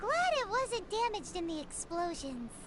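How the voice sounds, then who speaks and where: An extremely high, squeaky put-on character voice at a moderate pace over loud background noise. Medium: video game. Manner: fussy, chiding.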